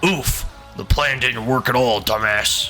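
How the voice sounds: Clear music plays in the background. A man of medium pitch does a put-on character voice at a fairly slow pace.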